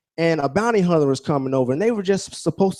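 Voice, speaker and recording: The background stays quiet as a man speaks in a Southern US accent. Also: dry, close sound with no echo. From Alaska, later Georgia (US South) from age ten. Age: 30s. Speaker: motivational speaker, military helicopter pilot. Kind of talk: motivational speech.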